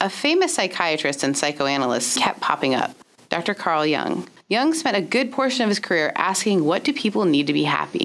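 A woman's voice moves through very wide pitch swings while its loudness stays very even. Noticeable background noise sits behind her. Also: medium pitch for a woman, moderate pace. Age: 30s. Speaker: podcast host and pastor. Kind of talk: casual chat; scripted narration.

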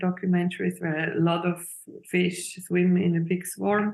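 The voice belongs to a woman with a medium pitch. Her intonation is monotone and flat. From Switzerland, Zurich. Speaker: illustrator and film director. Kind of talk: interview. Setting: video call. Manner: halting.

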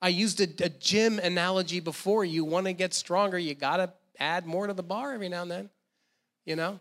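With an American accent, a man speaks in a high voice with fairly even intonation. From New Jersey. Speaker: guest preacher. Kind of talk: sermon. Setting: church.

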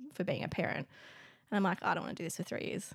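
A woman with an Australian accent, vocal fry and fairly even intonation. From Canberra, Australia. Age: 30s. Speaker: comedian. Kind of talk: casual chat.

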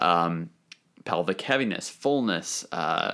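A man's very deep, low voice on a very clean recording with a silent background. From New Hampshire. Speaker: physical therapist. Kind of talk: casual chat.

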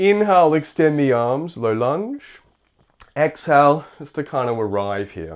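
With a normal speaking voice, a man talks at a fairly slow pace in a fairly high pitch, his intonation lively and his loudness swinging widely. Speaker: yoga teacher. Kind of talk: guided yoga class, live instruction. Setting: online Zoom class. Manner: calm, steady, instructional cueing.

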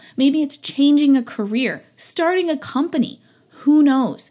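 A woman's dark, mellow tone with ordinary pitch variation. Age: 30s. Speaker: podcast host and small business owner. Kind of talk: casual monologue. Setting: at home, no studio. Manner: occasionally stumbles over words. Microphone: non-professional equipment.

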